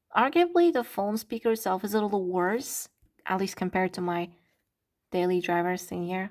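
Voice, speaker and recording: A woman speaks in a very clean recording with a silent background. The sound is dry and close, with no echo. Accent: Turkish. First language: Turkish. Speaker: content creator. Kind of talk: casual vlog. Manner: animated.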